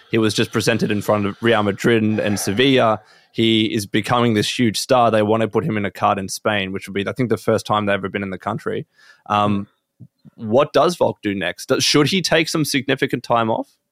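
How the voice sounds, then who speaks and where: Recorded dry and close with no echo, a man with an Australian accent talks at a fairly quick pace, with medium pitch and ordinary pitch variation. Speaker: podcast host. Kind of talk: casual chat.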